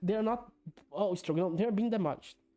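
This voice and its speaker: A woman's dark, mellow tone with lively intonation and a non-native accent. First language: not English. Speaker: esports commentator. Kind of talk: casual video analysis. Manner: halting.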